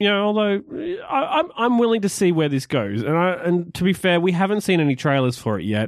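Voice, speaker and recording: With an Australian accent, a man speaks in a high pitch, swinging very widely in pitch and barely pausing. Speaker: podcast host. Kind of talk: casual chat.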